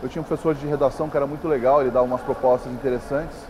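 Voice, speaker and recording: There is noticeable background noise as a man speaks with a São Paulo accent. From Brazil, São Paulo. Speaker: writer. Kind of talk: interview. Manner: halting, many fillers.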